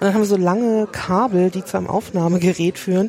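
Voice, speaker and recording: With noticeable background noise around her, this woman talks at a moderate pace in a medium pitch. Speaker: podcast host and museum worker. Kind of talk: casual walking museum tour conversation. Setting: walking through a crowded museum with headset mic.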